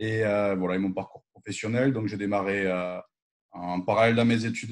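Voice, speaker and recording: A man speaks in a normal speaking voice, fairly low in pitch, at a fairly quick pace with fairly even intonation. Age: 30s. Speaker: business guest. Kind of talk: self-introduction in live interview.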